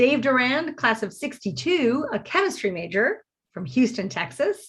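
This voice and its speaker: Her pitch high and swinging very widely, a woman speaks at a moderate pace. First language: French. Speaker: college president and event host. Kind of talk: event hosting, spelling bee announcing. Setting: virtual live stream.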